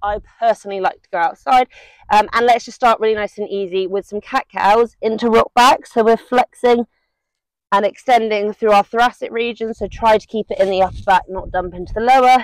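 Against a quiet background, a woman talks at a fairly quick pace with fairly even intonation, the sound dry and free of echo. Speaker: fitness instructor. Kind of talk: tutorial. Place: garden. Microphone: lapel.

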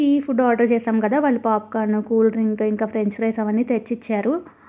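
A woman's fairly high voice, an ordinary speaking voice, with fairly even intonation. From Eluru, West Godavari, Andhra Pradesh. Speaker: lifestyle vlogger, homemaker and mother. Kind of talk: vlog voiceover narration.

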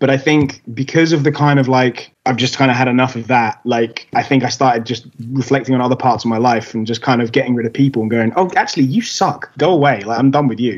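Very fast male speech in an English accent, fairly even intonation, and hardly any pauses. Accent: English accent, often mistaken for Australian. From England. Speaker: rock musician. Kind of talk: casual interview chat. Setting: video call. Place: home room. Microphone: video call.

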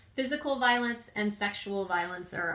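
Audible room echo surrounds a woman whose pitch varies in an ordinary way. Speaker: prevention educator. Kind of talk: informational talk. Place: home room. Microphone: phone near.

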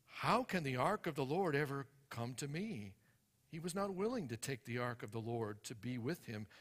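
At a moderate pace, a man speaks in a somewhat breathy voice against a quiet background. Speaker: preacher reading scripture. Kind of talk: scripture reading. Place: church. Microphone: headset.

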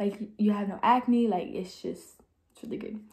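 This woman's voice is somewhat breathy. She keeps a moderate pace. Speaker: beauty vlogger. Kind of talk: tutorial. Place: home room. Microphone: phone near.

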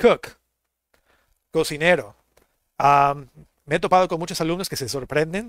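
Against a quiet background, a man speaks at a moderate pace in a fairly high pitch with ordinary pitch variation, the sound dry with no echo. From Mexico. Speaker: English teacher. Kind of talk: online language lesson. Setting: live stream. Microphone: headset.

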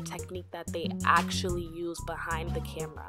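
Background music plays behind this clip. The woman's delivery moves at a moderate speed. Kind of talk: hair tutorial voiceover.

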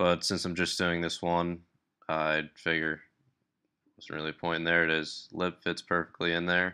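A man with a very deep, low pitch at a moderate pace, in a monotone, flat intonation against a quiet background. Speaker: hobby lure maker. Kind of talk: tutorial voice-over. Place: workshop. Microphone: phone near.

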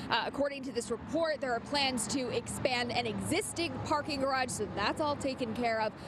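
A woman with an American accent, high-pitched, with ordinary pitch variation and a fairly quick pace, in a dry sound with no echo against noticeable background noise. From New Jersey. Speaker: TV news anchor. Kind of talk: news reading. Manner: formal. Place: street. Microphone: handheld.

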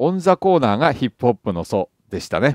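With very wide pitch swings, a man speaks at a fairly quick pace on a very clean recording with a silent background and a dry, close sound with no echo. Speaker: jazz YouTuber and author. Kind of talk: casual monologue answering a viewer comment. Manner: chatty, conversational, humorous.

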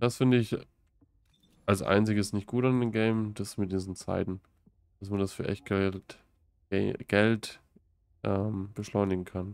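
A man speaks fairly slowly in a fairly low voice. His intonation is monotone and flat, with long, frequent pauses. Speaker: gaming streamer. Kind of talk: live stream gameplay commentary. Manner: casual, laughs often.

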